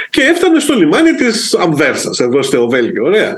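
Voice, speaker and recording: Moving at a moderate pace, a man's voice makes very wide pitch swings. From Greece, Corfu. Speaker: food safety official. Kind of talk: casual interview.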